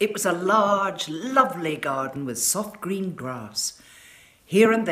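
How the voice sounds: Lively intonation marks this naturally read passage.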